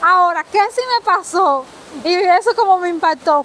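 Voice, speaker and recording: A woman with a Dominican accent speaks at an extremely high pitch over noticeable background noise. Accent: sounds Dominican, similar. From Cuba. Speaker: guest, Cuban immigrant. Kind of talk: casual chat.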